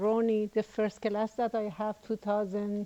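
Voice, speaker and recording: In a Persian accent, a woman talks at a fairly slow pace with fairly high pitch. Her tone is dark and mellow, and the sound is dry and close with no echo. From Iran. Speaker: student. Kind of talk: testimony.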